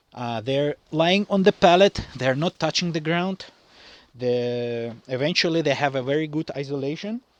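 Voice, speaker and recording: At a moderate pace, a man with a fairly high pitch and a non-native accent speaks with ordinary pitch variation in a dry, close sound with no echo. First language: not English. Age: young. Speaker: farmer. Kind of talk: tutorial. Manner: halting.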